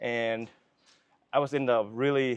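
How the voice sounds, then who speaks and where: A man with a Vietnamese accent. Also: dry, close sound with no echo. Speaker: filmmaker. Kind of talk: casual interview chat. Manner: halting, many fillers and restarts.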